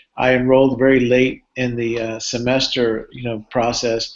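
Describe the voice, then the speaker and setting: His pitch is medium. The man's intonation stays monotone and flat. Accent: Cuban-American. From Cuba, moved to US at eight and a half. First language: Spanish. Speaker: neuropsychology professor. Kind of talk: live Q&A talk. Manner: halting, with frequent fillers and repeats.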